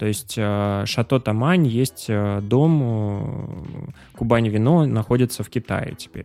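In a very clean recording with a silent background, a man with a dark, mellow tone and medium pitch speaks very slowly, with ordinary pitch variation and big swings in loudness. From Pyatigorsk, southern Russia. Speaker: podcast host. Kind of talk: interview.

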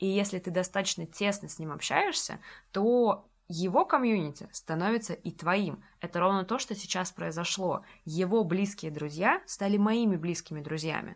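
In a very clean recording with a silent background, a woman at medium pitch speaks at a moderate pace in an animated tone with ordinary pitch variation. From Russia, Saint Petersburg. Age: 20s. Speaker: education entrepreneur. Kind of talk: casual interview chat. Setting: studio.

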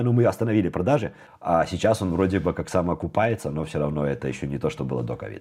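A man talks at a very fast pace in a very deep, low voice with a dark, mellow tone. Vocal fry and very wide pitch swings run through his speech. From Belarus. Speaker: programmer. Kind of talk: casual interview chat.

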